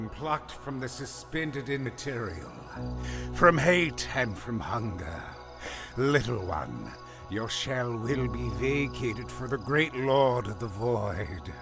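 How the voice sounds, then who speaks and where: Over clear background music, a man talks at a medium pitch and a fairly slow pace. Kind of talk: ominous ritual incantation. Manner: solemn, menacing.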